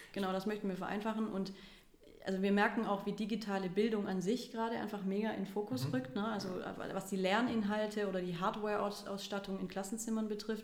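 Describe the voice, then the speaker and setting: Room echo and noticeable background noise surround a woman speaking at a very fast pace and medium pitch with fairly even intonation. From Stuttgart, Germany. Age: 20s. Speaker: startup co-founder. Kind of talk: interview.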